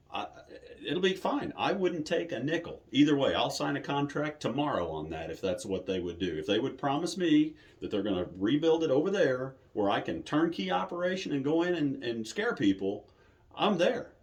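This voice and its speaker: This man talks at a moderate pace in a fairly high pitch, with very wide pitch swings and vocal fry. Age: 60s. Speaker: haunted attraction owner. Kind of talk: interview. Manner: casual, conversational.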